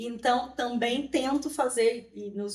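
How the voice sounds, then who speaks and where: In a Brazilian accent, a woman speaks with a high pitch and lively intonation. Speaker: immigrant rights activist. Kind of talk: interview testimony. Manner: halting.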